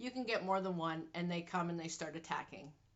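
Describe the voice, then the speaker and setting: In a Canadian accent, a woman speaks with a plain, everyday voice at medium pitch with ordinary pitch variation. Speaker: vlogger. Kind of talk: personal health vlog. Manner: casual.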